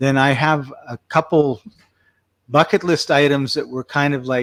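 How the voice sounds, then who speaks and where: An ordinary speaking voice from a man, fairly high in pitch, at a fairly slow pace with fairly even intonation and a dry, close sound with no echo. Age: 60s. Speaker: podcast host. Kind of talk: casual interview chat.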